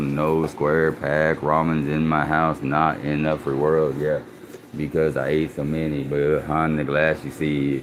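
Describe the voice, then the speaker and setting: A mumbling man with a very deep, low pitch, monotone, flat intonation and a fairly slow pace, with noticeable background noise. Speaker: livestreamer. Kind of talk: casual live stream monologue.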